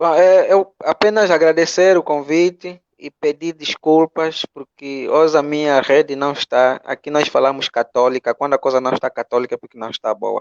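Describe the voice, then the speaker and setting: Man with an Angolan accent, fairly high-pitched, at a moderate pace with hardly any pauses, ordinary pitch variation and big swings in loudness. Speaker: philosophy teacher. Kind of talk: online panel closing remarks. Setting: video call. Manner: mumbled. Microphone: poor internet connection.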